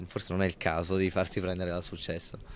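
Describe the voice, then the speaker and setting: Light background noise sits under a man's voice, which sounds dry with no echo. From Italy, Abruzzo (Pescara); Abruzzo, Italy. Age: 20s. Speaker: actor. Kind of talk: interview. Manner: halting, many repetitions. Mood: relaxed, smiling, reflective. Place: hall. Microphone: handheld.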